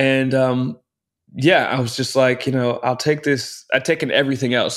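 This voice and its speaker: A man's plain, everyday voice at a medium pitch and moderate pace. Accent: American. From Texas (Round Rock, near Austin). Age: 20s. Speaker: Broadway actor. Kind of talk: casual interview chat.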